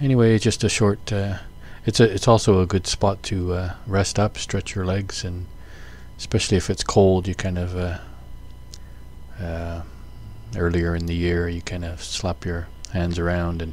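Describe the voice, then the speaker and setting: At a moderate pace, a man with a very deep, low pitch speaks with fairly even intonation and long, frequent pauses, in a dry sound with no echo. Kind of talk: casual vlog commentary. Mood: relaxed, calm. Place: motorbike.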